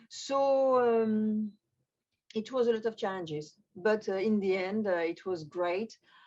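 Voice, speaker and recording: The woman's pitch is fairly high, and she talks at a fairly slow pace. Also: ordinary pitch variation. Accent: French. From France. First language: French. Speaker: magician. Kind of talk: interview. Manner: halting.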